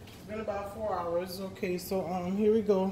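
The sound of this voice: A woman's medium-pitched voice with a dark, mellow tone, fairly even intonation and a moderate pace, with faint background noise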